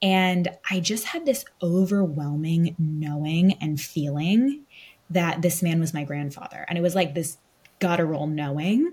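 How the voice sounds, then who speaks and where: A woman's fairly low, somewhat breathy voice in an American accent, at a fairly slow pace with ordinary pitch variation. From US West Coast, Los Angeles. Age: 20s. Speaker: podcast co-host, medium. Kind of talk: casual chat.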